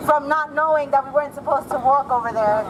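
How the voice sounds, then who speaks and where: A speaker talks at a fairly quick pace. Crowd noise fills the background. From Puerto Rican diaspora, New York. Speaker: activist organizer. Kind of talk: rally speech. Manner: animated.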